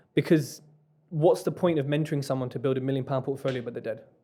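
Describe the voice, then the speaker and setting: At a very fast pace, a man speaks with ordinary pitch variation. His tone is dark, mellow, and somewhat breathy. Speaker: property investor and mentor. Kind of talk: podcast interview. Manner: animated.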